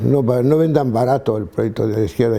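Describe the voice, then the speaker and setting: With vocal fry and a dark, mellow tone, a man speaks at a fairly quick pace with ordinary pitch variation. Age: 80s+. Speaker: priest and theologian. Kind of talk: interview. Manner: halting, with many restarts.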